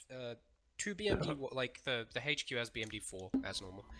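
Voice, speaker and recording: Loud noise fills the background as a man talks at a moderate pace. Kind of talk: briefing to teammates.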